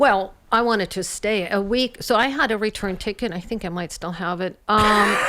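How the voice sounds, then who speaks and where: A woman at medium pitch talks at a moderate pace with hardly any pauses and ordinary pitch variation, against noticeable background noise. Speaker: doctor and former research professor. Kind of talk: casual radio interview. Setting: radio studio.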